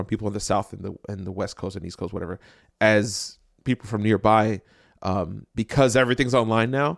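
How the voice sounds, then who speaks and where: A plain, everyday voice with an American accent moves at a moderate pace and ordinary pitch variation. The recording is very clean, with a silent background and a dry, close sound with no echo. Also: man. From New Jersey, Jersey City. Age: 30s. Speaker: podcast host. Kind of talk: casual chat.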